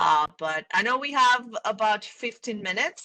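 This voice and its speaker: A woman's bright, sharp voice with lively intonation, in a dry, close sound with no echo. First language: not English. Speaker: panel moderator. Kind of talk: panel discussion. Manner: casual, animated.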